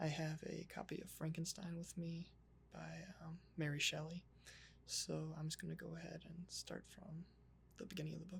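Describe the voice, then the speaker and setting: The pace is moderate. The speaker is soft-spoken. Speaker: ASMR creator. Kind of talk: casual talk to camera.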